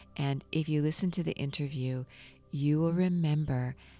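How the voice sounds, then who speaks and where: With music in the background, a woman speaks at a fairly slow pace in a warm, calm tone, her very deep, low pitch held in fairly even intonation. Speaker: meditation guide / podcast host. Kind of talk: guided meditation podcast narration. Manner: warm, calm, conversational.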